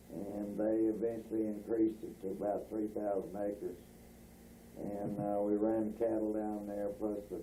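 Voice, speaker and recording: A man speaks with a Texan accent in a dark, mellow tone and fairly low pitch. His intonation is monotone and flat, with audible room echo. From North Texas (Bowie area). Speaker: rancher recalling family history. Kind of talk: oral history interview. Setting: at home. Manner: halting, many filler words.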